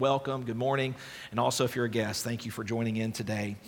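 Through audible room echo, a man talks at a very fast pace. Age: 30s. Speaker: pastor. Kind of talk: sermon. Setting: church.

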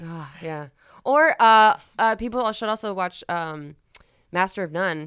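An unremarkable speaking voice from a woman with an American accent, medium pitch, lively intonation and big swings in loudness, at a fairly slow pace on a very clean recording with a silent background. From Florida, US. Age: 30s. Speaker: podcast guest. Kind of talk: casual chat.

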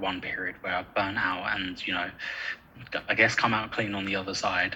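Over noticeable background noise, a man with an English accent talks at a moderate pace. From North London (Edmonton). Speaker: university lecturer in sport science. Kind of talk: casual interview chat.

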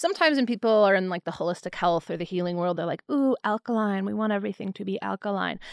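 In a normal speaking voice, a woman with an American accent speaks at a medium pitch with lively intonation, in a very clean recording with a silent background and a dry, close sound with no echo. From US Midwest (Milwaukee). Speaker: naturopathic doctor and podcast host. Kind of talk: health explainer; casual chat.

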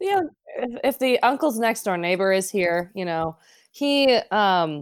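At a fairly slow pace, a woman speaks with a normal speaking voice. Her pitch is medium and her intonation lively. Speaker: guest, friend of host. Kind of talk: casual chat. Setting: video call.

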